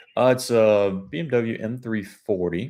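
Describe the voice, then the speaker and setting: This is a man speaking with an American accent. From Georgia, US South (Carrollton area). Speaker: car buying negotiator, livestreamer. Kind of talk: livestream with live phone negotiation. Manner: casual, friendly.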